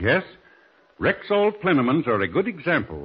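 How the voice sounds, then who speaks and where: At a moderate pace, a man talks with very wide swings in pitch. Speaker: radio commercial announcer. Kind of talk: scripted radio ad, polished sales pitch. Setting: studio. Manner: smooth, formal, earnest, steady. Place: studio. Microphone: old recording.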